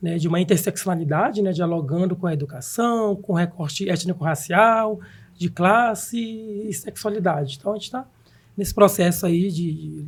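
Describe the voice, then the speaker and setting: Over a silent background in a very clean recording, a man with a Pará accent talks at a high pitch and moderate pace with ordinary pitch variation. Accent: northern Brazilian (Pará). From northern Brazil, Belém do Pará (Amazon). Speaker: professor and researcher. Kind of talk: podcast interview.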